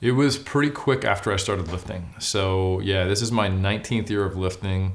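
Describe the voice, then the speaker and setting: On a very clean recording with a silent background, a man with an American accent speaks at a moderate pace with ordinary pitch variation. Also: fairly low pitch for a man. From US West Coast, California (Oakland, Sacramento). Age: 40s. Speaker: bodybuilder and academic. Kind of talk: interview.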